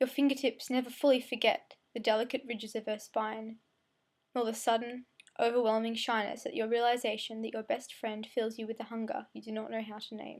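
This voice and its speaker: A woman with an Australian accent talks at a fairly quick pace in a fairly high pitch. Her intonation is fairly even, while her loudness swings widely. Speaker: amateur poet. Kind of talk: spoken word poetry. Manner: fast; occasional stumbles.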